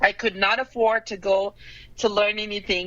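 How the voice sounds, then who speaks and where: A woman speaks with a Brazilian Portuguese accent. Her pitch is medium. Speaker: painter. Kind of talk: interview.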